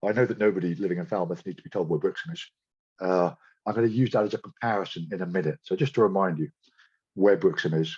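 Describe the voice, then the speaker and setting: A man speaks at a very fast pace with a fairly low pitch and lively intonation, recorded with a dry, close sound, no echo and a quiet background. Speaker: marine biology researcher giving a talk. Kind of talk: lecture.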